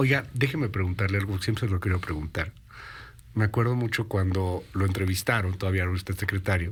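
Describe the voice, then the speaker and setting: This man has a very deep, low pitch and a somewhat breathy voice with fairly even intonation. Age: 30s. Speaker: radio news host. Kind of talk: interview. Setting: studio.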